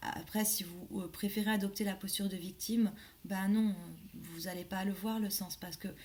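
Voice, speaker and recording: Somewhat breathy, a woman speaks with monotone, flat intonation. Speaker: life coach and medium. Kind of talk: casual vlog monologue. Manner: hesitant, many fillers.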